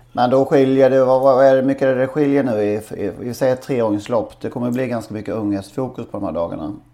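This man has an unremarkable speaking voice at medium pitch, talking at a fairly quick pace with ordinary pitch variation. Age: 40s. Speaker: podcast co-host. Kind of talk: casual chat.

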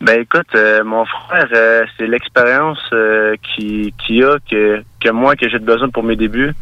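A man talks at a fairly slow pace and medium pitch with hardly any pauses and fairly even intonation. His tone is bright and sharp, and the sound is dry and close with no echo. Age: 20s. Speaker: mixed martial arts fighter. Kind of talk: interview.

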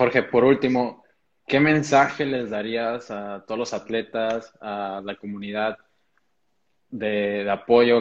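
A man with a Mexican accent speaks at a very slow pace and medium pitch. His intonation stays fairly even while his loudness swings widely. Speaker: talk series host. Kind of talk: online interview.

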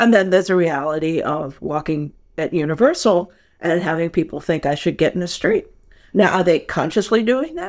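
A woman with an American accent speaks at a moderate pace in a fairly low voice with ordinary pitch variation. Hers is an unremarkable speaking voice, heard in a very clean recording with a silent background. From New York. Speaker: film editor. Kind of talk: interview conversation.

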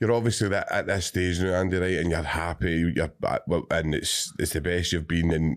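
A man's very deep, low voice with a Scottish accent, fairly even intonation, a moderate pace and very even loudness, on a very clean recording over a silent background. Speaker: podcast host. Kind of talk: casual interview chat.

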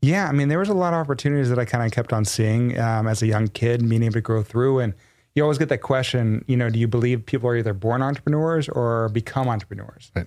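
Hardly pausing, a man with an American accent speaks at a very fast pace, with a medium pitch and ordinary pitch variation. His loudness stays very even against a quiet background. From Texas. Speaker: entrepreneur. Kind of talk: casual interview. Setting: studio. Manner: animated.

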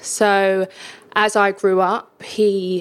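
A woman speaks with a London accent. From East London (Hackney). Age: 30s. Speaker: charity ambassador sharing life story. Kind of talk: interview testimony. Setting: home kitchen.

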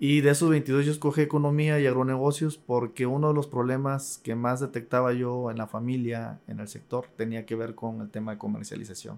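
Using a plain, everyday voice, a man speaks at a fairly quick pace with hardly any pauses, medium pitch and fairly even intonation. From Tabasco, Mexico. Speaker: university administrator, agricultural economist. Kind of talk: interview.

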